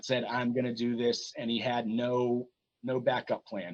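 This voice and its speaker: Here a man has a plain, everyday voice at a medium pitch. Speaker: pro wrestling ring announcer. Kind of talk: casual podcast interview answer.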